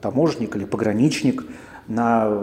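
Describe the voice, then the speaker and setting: Audible room echo and noticeable background noise surround the voice. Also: man. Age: 40s. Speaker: podcaster. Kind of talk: casual monologue. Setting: coworking space.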